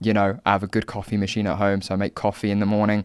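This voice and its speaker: A man speaks with a southern English accent in a fairly low, monotone voice with flat intonation. The recording is very clean with a silent background and a dry, close sound with no echo. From southern England, Hampshire. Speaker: political commentator and content creator. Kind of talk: podcast interview. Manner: hesitant, many fillers.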